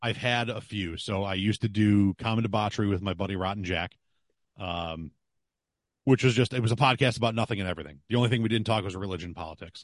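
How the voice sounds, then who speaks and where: A man with a Western New York accent talks very fast at a fairly low pitch, his pitch varying in an ordinary way. The sound is dry and close with no echo, over a quiet background. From Buffalo, western New York. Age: 40s. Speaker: podcaster and sports broadcaster. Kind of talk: casual chat. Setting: video call.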